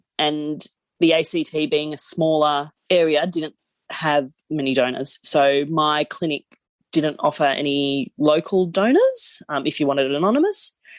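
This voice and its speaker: A woman speaks fairly slowly with a very deep, low pitch and an Australian accent. The sound is dry and close with no echo, and her intonation is fairly even. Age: 30s. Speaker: podcast guest, new mother. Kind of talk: casual interview chat.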